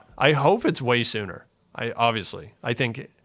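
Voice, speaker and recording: This is a very clean recording with a silent background. A man with a Canadian accent and a normal speaking voice talks at a moderate pace with ordinary pitch variation. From Ontario, Canada. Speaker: real estate developer. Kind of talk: interview.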